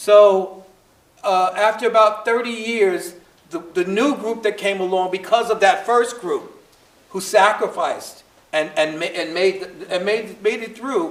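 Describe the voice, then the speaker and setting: With a Brooklyn accent, the speaker talks at a fairly slow pace with ordinary pitch variation. Noticeable background noise runs underneath. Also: man, high pitch for a man. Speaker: historian speaker in post-show discussion. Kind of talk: panel talk. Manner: halting, many repetitions.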